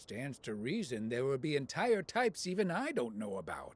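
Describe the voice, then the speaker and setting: Putting on a character voice, a man speaks at a medium pitch and a moderate pace with very wide pitch swings. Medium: video game.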